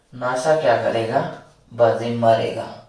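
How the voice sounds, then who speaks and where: There is noticeable background noise and audible room echo. Through it, a man talks at medium pitch. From Rajasthan, India. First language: Marwari (speaking Hindi). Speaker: online exam-prep teacher. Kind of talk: video lecture. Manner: casual, chatty.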